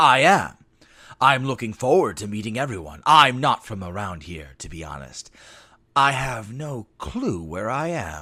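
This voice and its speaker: A man puts on a character voice with very wide pitch swings and big jumps in loudness, talking at a moderate pace on a very clean recording with a silent background. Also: medium pitch for a man. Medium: read story. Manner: polite, measured.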